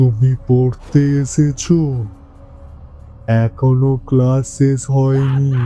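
A man's put-on character voice at medium pitch, flat and monotone, with clear music in the background. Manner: ghostly, menacing.

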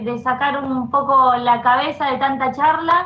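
A woman uses a raised, projected voice with a high pitch and a bright, sharp tone. Her pace is fairly slow and her intonation fairly even. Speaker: program coordinator and panel moderator. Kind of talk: live online panel discussion. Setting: video call with online audience. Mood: calm, reflective, warm. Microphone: headset.

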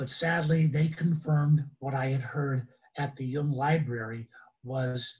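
A man speaks slowly at a medium pitch, his tone slightly mellow. His intonation stays fairly even.

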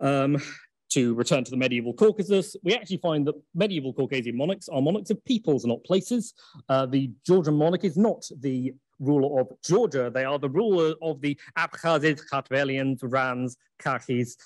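A man speaks with an English accent and lively intonation at a moderate pace. The sound is dry with no echo, over a quiet background. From England. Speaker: academic conference speaker. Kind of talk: lecture. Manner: frequent filler ums. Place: hall.

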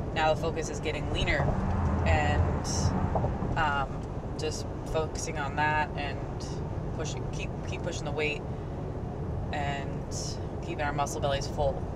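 Over loud background noise, the moderately paced speech has long, frequent pauses and a dry sound with no echo. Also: woman. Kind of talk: casual vlog chat. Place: car. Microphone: camera far.

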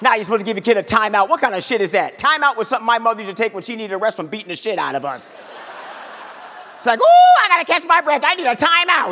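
At an extremely high pitch, a man speaks at a very fast pace in a raised, projected voice. His tone is energetic and playful, with very wide pitch swings. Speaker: stand-up comedian and radio host. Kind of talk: stand-up comedy set to a live audience. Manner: loud, energetic, playful, crowd-work banter. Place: stage. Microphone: handheld.

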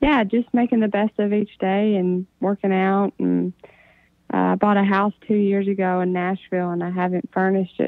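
A woman's monotone, flat delivery over a quiet background. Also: dry sound with no echo. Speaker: guest. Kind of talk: interview answer. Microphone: phone line.

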